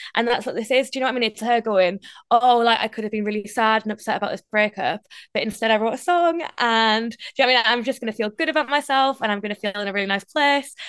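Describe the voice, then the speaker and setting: In a Geordie accent, a woman speaks very fast at a fairly high pitch with ordinary pitch variation, the sound dry and close with no echo and the background quiet. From northeast England. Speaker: radio presenter. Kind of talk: interview.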